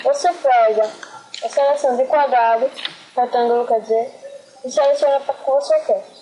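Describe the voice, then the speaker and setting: Amid noticeable background noise, a woman with a high voice keeps her loudness very even and her intonation fairly even at a moderate pace. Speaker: graphic design tutorial maker. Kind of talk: tutorial.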